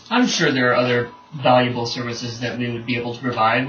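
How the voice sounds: Speaking fast at a medium pitch, a man uses ordinary pitch variation and a fairly bright tone, with strong room echo around him.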